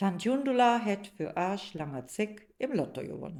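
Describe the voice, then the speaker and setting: In a Rhineland accent, the speaker talks at a very slow pace with a dark, mellow tone and very wide pitch swings. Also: woman. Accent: Rhineland dialect (Platt). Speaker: narrator. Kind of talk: radio play narration.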